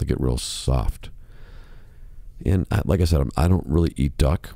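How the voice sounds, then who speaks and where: This man's voice is very deep and low, with a dark, mellow tone and vocal fry. He talks at a moderate pace with very even loudness and ordinary pitch variation. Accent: American. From Chicago, US Midwest. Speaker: podcast host, musician. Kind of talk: casual monologue podcast. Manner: softer, lowered volume.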